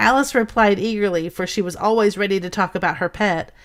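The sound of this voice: The voice is an unforced reading voice. It is used throughout.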